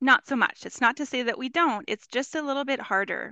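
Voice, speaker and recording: A woman with a Canadian accent speaks in a bright, sharp tone. The sound is dry and close with no echo, against a quiet background. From Canada, Winnipeg, Manitoba. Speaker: grade 1 teacher and author. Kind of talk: podcast interview.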